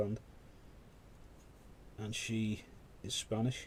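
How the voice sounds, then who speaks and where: Somewhat breathy and fairly low in pitch, this man's voice carries a dark, mellow tone. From UK. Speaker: miniature painting live streamer. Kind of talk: casual chat while painting on a live stream. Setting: live stream.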